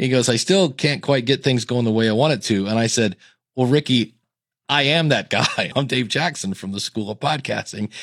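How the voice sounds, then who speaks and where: A man with an unremarkable speaking voice talks at a fairly quick pace, his pitch medium and his intonation lively. The recording is very clean, with a silent background. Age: 50s. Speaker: podcasting educator and hosting company employee. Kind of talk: casual chat.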